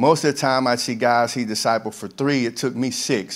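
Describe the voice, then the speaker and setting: An unremarkable speaking voice, this man's medium pitch and fairly even intonation move at a moderate pace in a very clean recording with a silent background. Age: 50s. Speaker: camp ministry director. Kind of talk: testimony. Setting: church with congregation.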